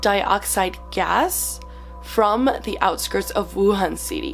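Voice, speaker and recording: A woman at a very slow pace, music in the background. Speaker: YouTuber. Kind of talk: casual talk to camera.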